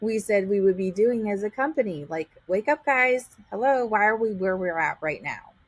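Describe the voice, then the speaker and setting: Speaking at a moderate pace in a New York accent, a woman with a medium pitch uses lively intonation and hardly any pauses. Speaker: real estate agent. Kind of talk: casual chat.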